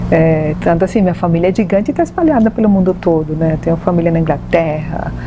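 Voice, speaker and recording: Very fast speech in a Venezuelan accent, with very even loudness, fairly even intonation and noticeable background noise. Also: woman, fairly low pitch for a woman. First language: Spanish (speaking Portuguese). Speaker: medium and holistic therapist. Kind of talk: TV talk show interview.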